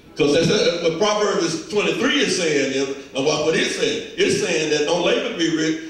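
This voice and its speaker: Strong room echo carries a man's high-pitched voice. He speaks fairly slowly with ordinary pitch variation. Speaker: preacher. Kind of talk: sermon. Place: church.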